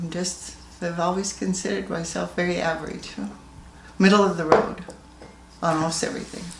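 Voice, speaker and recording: A woman with a General American accent talks at a fairly quick pace in a fairly low pitch, with fairly even intonation and long, frequent pauses, amid audible room echo and noticeable background noise. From Colorado, US. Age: 80s+. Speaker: grandmother interviewed about her life. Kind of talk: family oral history interview.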